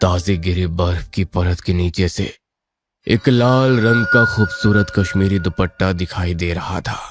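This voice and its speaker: A man's moderately paced put-on character voice, pitched very deep and low. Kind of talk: horror narration. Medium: audio drama. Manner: suspenseful.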